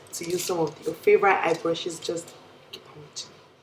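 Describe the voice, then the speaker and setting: Noticeable noise sits in the background. Over it, a woman talks with fairly even intonation. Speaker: beauty YouTuber. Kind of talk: makeup tutorial. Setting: indoors away from home.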